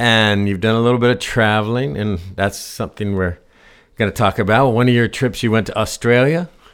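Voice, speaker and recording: Medium pitch, ordinary pitch variation and a fairly quick pace from a man with a plain, everyday voice. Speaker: podcast host. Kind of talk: interview conversation.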